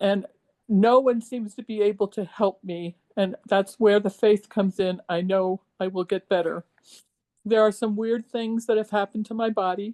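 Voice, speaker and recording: A woman speaks with a dark, mellow tone and monotone, flat intonation. The sound is dry and close, with no echo. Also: medium pitch for a woman, moderate pace. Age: 70s. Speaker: health program participant. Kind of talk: testimony. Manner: halting, many fillers.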